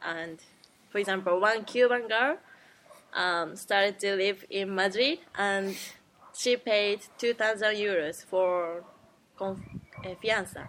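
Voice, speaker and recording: A woman with a Japanese accent speaks at a medium pitch with ordinary pitch variation. Her pace is very slow, with long, frequent pauses. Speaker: podcast host. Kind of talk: casual chat.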